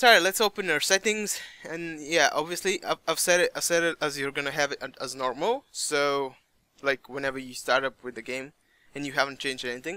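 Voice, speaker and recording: A bright, sharp voice with a non-native accent at a fairly quick pace and ordinary pitch variation, dry and close with no echo on a very clean recording with a silent background. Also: man, fairly high pitch for a man. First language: not English. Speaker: gaming YouTuber. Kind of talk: tutorial. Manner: casual, halting at times.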